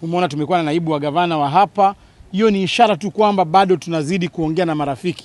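At a very fast pace with hardly any pauses, a man speaks in a high pitch, the sound dry with no echo. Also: ordinary pitch variation. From Kenya. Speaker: party official; politician. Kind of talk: press statement. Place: open country. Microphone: handheld.

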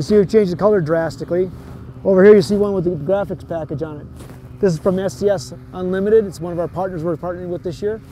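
Over faint background noise, a man talks at a fast pace in a high pitch, his dark, mellow tone carrying ordinary pitch variation.

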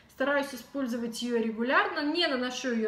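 In a room with audible echo, a woman with a high pitch speaks in an animated tone with lively intonation. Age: 30s. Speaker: beauty blogger. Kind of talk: product review vlog. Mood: calm, friendly. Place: home room. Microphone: camera far.

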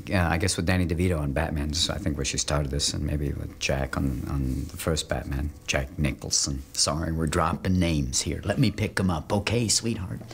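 Hardly pausing, a man with a very deep, low pitch talks at a fairly quick pace. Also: ordinary pitch variation. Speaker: actor being interviewed. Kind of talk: interview answer. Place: home room.

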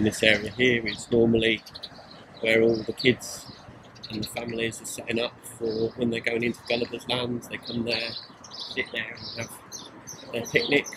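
Over loud background noise, a man speaks at a moderate pace with long, frequent pauses. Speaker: travel vlogger. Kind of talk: casual vlog commentary. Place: open country. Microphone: phone near.

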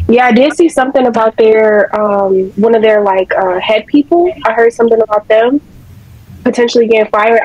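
Using a normal speaking voice, a woman talks at a fairly quick pace. Her pitch is fairly high, with ordinary variation. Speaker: trading group member. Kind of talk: casual chat. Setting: video call.

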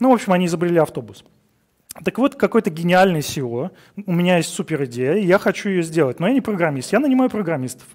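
A man's high-pitched voice at a very fast pace, with very wide pitch swings, over a quiet background. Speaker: conference speaker, engineering director; conference speaker. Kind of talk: conference talk. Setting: stage with audience. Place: studio.

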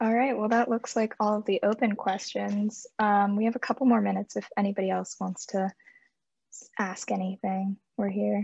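A woman speaks at a moderate pace in a flat, monotone voice that is somewhat breathy, recorded dry with no echo against a quiet background. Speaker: student program coordinator. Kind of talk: Q&A moderation. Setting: video call. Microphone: video call.

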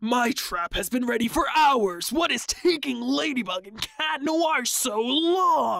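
A woman puts on a character voice with a high pitch. She speaks at a fairly slow pace with very wide pitch swings. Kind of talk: comic dub. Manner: frustrated.

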